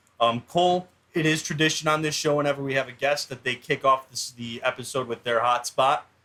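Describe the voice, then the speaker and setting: A man with a fairly high, bright, sharp voice speaks at a fairly quick pace with fairly even intonation. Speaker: sports podcast host. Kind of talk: casual chat. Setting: home garage. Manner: monotone.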